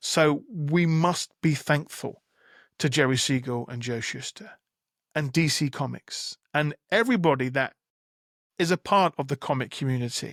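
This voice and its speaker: Recorded very cleanly with a silent background and a dry, close sound with no echo, a man talks at a moderate pace, his fairly high pitch showing ordinary variation. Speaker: podcast host. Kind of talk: solo podcast monologue. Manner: rambling, mumbling.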